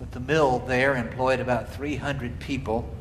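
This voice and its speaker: With noticeable background noise and audible room echo, a man in an American accent speaks at a medium pitch. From US South, Marietta, Georgia. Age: 60s. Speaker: cathedral dean teaching an adult class. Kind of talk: lecture. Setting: church hall.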